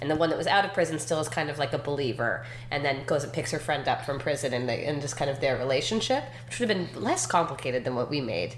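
A woman's very deep, low pitch at a very fast pace, with ordinary pitch variation and noticeable background noise. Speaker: TV writer and actress. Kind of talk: casual interview chat.

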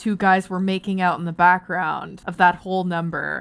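A woman with a Canadian accent speaks at a fairly slow pace in a medium pitch, in a very clean recording with a silent background. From Canada, Barrie, Ontario. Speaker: TV and video game writer. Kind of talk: casual interview chat. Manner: hesitant, many fillers.

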